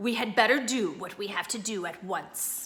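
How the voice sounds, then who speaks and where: Putting on a character voice, a woman speaks at a moderate pace with a fairly high pitch. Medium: read story. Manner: low-voiced, grim.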